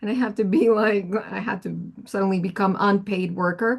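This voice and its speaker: A woman with a Spanish accent speaks in a somewhat breathy voice. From Colombia. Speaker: audio engineer and producer. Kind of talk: career workshop talk. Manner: casual, halting with many fillers.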